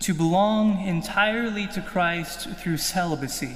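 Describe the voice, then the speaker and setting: A man's high-pitched, fairly slow voice with ordinary pitch variation and an American accent, in audible room echo. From Kansas, US. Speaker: seminarian. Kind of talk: testimony.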